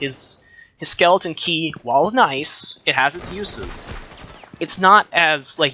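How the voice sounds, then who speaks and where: Noticeable background noise behind a man's voice full of lively intonation. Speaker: video game reviewer. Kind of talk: casual gameplay commentary.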